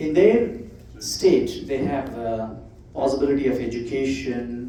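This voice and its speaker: A man's medium-pitched voice with ordinary pitch variation, at a very slow pace amid audible room echo. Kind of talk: presentation to church audience.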